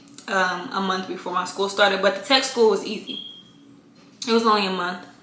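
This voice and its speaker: A woman talks at a moderate pace, her pitch varying in an ordinary way, with audible room echo and noticeable background noise around her. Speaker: Air Force reservist vlogger. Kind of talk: casual Q&A vlog. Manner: casual, many filler ums.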